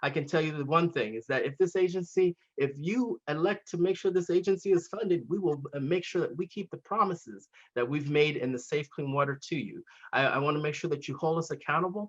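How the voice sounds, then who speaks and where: A man talks at a fairly quick pace in a high pitch. His pitch varies in an ordinary way. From Santa Clara Valley, California. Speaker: water agency chief executive. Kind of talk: informal online Q&A discussion. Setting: zoom webinar. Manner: earnest, repetitive emphasis.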